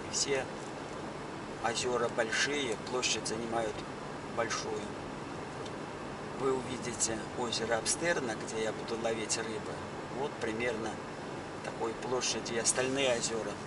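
Loud background noise runs under the clip. A man talks at a fairly slow pace with long, frequent pauses. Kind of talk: casual vlog narration. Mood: calm, proud of local area. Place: car. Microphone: phone near.

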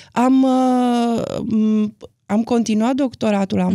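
A woman's voice with a dry sound, no echo, and a quiet background. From Romania, Timișoara / Arad area; Romania. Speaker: documentary film director; interview guest. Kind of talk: interview. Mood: calm, reflective. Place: studio. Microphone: studio mic.

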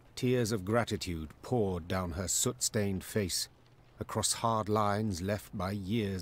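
The speaker is doing plain reading aloud.

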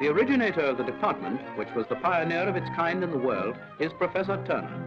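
A man at a fairly quick pace with clear music in the background. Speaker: documentary narrator. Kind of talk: formal documentary narration. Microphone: old recording.

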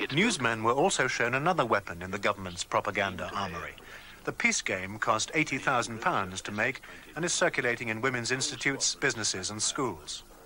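In a normal speaking voice, a man talks at a fairly quick pace with a medium pitch and lively intonation. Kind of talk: 1983 newsreel-style documentary narration. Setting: studio voiceover. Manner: formal, measured, authoritative; brisk, even-paced, declarative.

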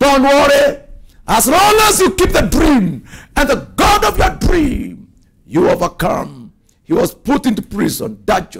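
Animated in tone, a man speaks at a fairly slow pace with an extremely high pitch and very wide pitch swings. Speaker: preacher. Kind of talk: sermon. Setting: church. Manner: animated, forceful preaching with declarations and exhortations. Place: studio. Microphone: lapel.

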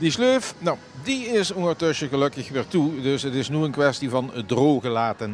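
A man at a moderate pace, dry sound with no echo, with music in the background. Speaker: local TV reporter. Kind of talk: on-location news report. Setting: outdoors at shopping centre. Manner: casual, halting with fillers. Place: market. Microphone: handheld.

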